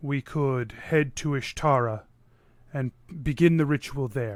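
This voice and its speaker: In a put-on character voice, a man talks at a fairly slow pace and medium pitch, the recording very clean with a silent background. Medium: actual play. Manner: formal, measured, archaic.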